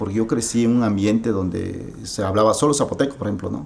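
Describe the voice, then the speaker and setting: A man with an Oaxacan accent speaks at a moderate pace and a medium pitch, with lively intonation. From Mexico, Oaxaca. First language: Zapotec (speaking Spanish). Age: 30s. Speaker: writer. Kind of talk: interview. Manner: halting.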